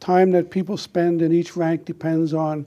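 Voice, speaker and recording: With an American accent, a man talks in a monotone, flat intonation at a fairly slow pace, his fairly high pitch carrying a dark, mellow tone on a very clean recording with a silent background. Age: 80s+. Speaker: war veteran. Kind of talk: informational talk.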